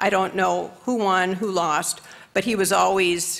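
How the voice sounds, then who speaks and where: A woman with an American accent speaks at a fairly slow pace, her voice marked by vocal fry. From Michigan. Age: 70s. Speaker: state senator. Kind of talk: memorial speech. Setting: legislative chamber.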